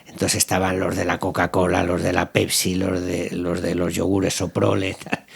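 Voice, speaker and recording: A man talks with a very deep, low pitch. Noticeable background noise sits behind him. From Spain. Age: 60s. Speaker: company founder and business owner. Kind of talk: interview. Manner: halting, with many false starts.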